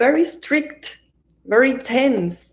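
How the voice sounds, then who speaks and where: A woman speaks with a Colombian accent. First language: Spanish. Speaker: meditation teacher. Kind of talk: live-stream introduction before guided meditation. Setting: online livestream.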